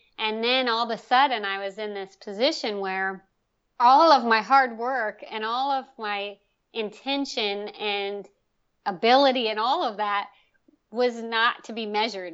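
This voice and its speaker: With an American accent, a woman with a plain, everyday voice and fairly high pitch speaks at a fairly slow pace. Her pitch varies in an ordinary way. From Salisbury, Maryland (Eastern Shore). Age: 30s. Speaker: painter and illustrator. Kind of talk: interview.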